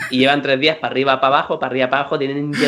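A man's bright, sharp tone. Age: 30s. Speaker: podcast co-host. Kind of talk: casual chat.

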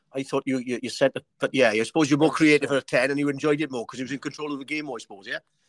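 With a Welsh accent, a man talks at a very fast pace with hardly any pauses, his fairly high voice flat and monotone, in a dry, close sound with no echo. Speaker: podcast host. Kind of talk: casual chat. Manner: halting.

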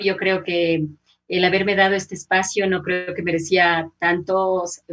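A woman speaks at a medium pitch and a fairly slow pace. Her intonation stays monotone and flat. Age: 50s. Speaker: journalist and radio announcer. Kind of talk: casual interview. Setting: video call.

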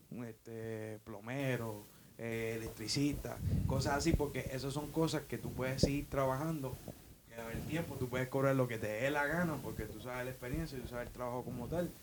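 With fairly even intonation, a man speaks at a moderate pace and a medium pitch. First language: English (speaking Spanish). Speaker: co-worker guest. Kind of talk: casual chat.

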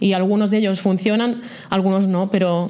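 A woman's dark, mellow voice at a medium pitch and moderate pace, with fairly even intonation and audible room echo. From Catalonia, Vallès Oriental. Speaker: startup founder and CEO. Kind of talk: interview.

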